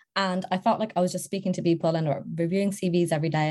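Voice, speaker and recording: Her tone dark and mellow, a woman speaks very fast in a somewhat breathy voice with fairly even intonation. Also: quiet background. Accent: British. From Serbia, moved to UK at eight. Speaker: recruiter. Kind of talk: interview.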